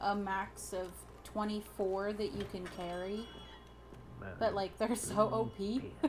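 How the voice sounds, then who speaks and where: Pausing long and often, a woman at a medium pitch speaks very slowly with audible room echo. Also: fairly even intonation. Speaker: video game streamer. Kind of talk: gameplay commentary. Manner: halting.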